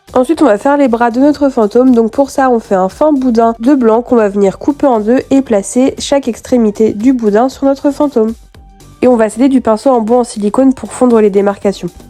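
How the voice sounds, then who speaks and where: Music plays in the background. A woman speaks with a high pitch. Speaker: polymer clay crafter. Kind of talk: tutorial voice-over.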